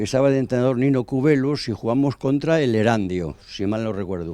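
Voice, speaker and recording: A man speaks with a dark, mellow tone. His intonation is lively. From Spain, El Bierzo (León). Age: 80s+. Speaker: former football club president. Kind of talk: interview. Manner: halting.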